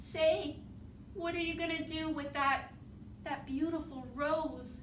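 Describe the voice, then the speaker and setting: A woman puts on a whiny character voice with a whiny tone at a fairly slow pace. Clear background noise runs underneath. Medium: read story. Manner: fretful, whiny.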